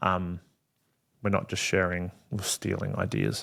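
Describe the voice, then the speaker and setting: An Australian accent comes through. Speed stays moderate. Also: man. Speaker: wedding photographer and podcast host. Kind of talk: solo podcast Q&A. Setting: home studio. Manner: loud; casual, many fillers.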